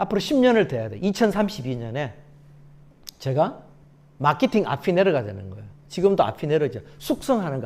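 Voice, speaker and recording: A fairly high-pitched man speaks at a fairly quick pace, with very wide pitch swings, big swings in loudness and long, frequent pauses. The recording is very clean, with a silent background. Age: 60s. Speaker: success coach and lecturer. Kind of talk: lecture. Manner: animated.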